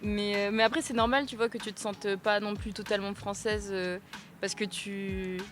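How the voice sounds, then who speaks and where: Over music in the background, a woman speaks at a moderate pace with medium pitch and fairly even intonation. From France, Malagasy family. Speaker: podcast host. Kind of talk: casual interview chat.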